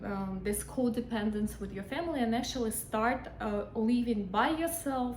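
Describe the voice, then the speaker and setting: A woman at a fairly high pitch with ordinary pitch variation and a fairly slow pace, amid audible room echo and noticeable background noise. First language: not English. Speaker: hypnotherapist. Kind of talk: casual talk to camera. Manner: hesitant, many fillers.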